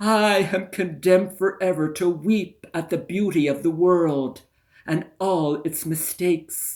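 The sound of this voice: Pitch varies in an ordinary way. The voice is an unforced reading voice.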